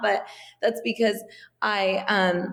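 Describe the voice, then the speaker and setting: With ordinary pitch variation, this is an unremarkable speaking voice. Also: woman. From US, Iranian immigrant family. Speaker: wellness entrepreneur. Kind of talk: interview. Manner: casual, many fillers.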